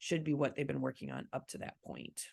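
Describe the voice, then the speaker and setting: Against a quiet background, a woman speaks with vocal fry at a very deep, low pitch. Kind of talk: online training presentation.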